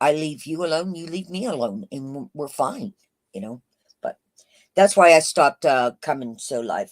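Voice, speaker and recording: A woman speaks in a very deep, low voice that swings very widely in pitch. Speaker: YouTube livestreamer. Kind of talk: casual live chat. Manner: loud; halting with fillers.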